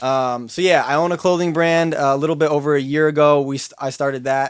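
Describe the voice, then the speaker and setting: A man with a plain, everyday voice talks at a fairly quick pace with fairly even intonation, recorded very cleanly against a silent background. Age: 20s. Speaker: podcast co-host, finance sales worker and influencer. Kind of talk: casual chat.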